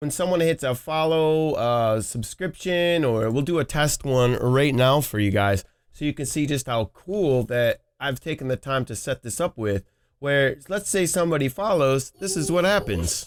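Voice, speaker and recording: An unremarkable speaking voice with lively intonation and a moderate pace, in a dry, close sound with no echo, on a very clean recording with a silent background. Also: man, fairly high pitch for a man. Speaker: streaming tutorial youtuber. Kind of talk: tutorial. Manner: casual, with filler words.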